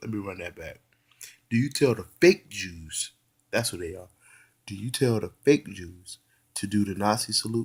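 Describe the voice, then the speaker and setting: A man with an animated tone and lively intonation speaks at a moderate pace, somewhat breathy, leaving long, frequent pauses. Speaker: YouTube commentator. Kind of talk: casual monologue. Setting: at home on a couch. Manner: halting.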